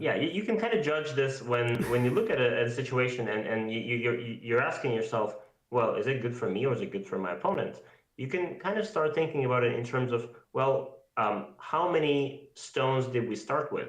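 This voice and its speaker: Audible room echo surrounds a man talking fairly quickly at a medium pitch with lively intonation. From Siberia. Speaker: go teacher. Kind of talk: game review livestream. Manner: loud.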